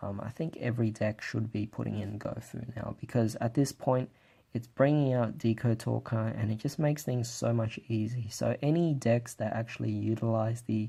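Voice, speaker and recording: Soft-spoken and somewhat breathy, a man at medium pitch talks with hardly any pauses. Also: fairly even intonation, moderate pace. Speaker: card game deck reviewer. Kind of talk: casual talk to camera. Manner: quiet, keeping voice down.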